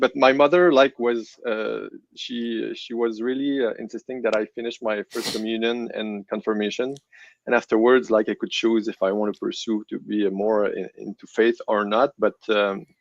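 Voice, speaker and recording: A man with a French Canadian accent speaks at a moderate pace and medium pitch, his intonation fairly even. The sound is dry and close with no echo, and the background is quiet. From Quebec City, Canada. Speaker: guest sharing testimony. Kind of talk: testimony. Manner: halting.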